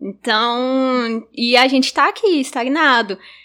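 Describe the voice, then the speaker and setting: Bright and sharp in tone, a woman's voice rings out at a high pitch. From Gurupi, Tocantins, Brazil. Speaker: youth group music coordinator. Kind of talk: casual chat.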